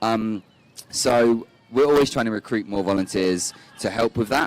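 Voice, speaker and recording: In a dry, close recording with no echo but noticeable background noise, a man speaks at a medium pitch and moderate pace with ordinary pitch variation. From United Kingdom. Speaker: refugee charity volunteer manager. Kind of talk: interview.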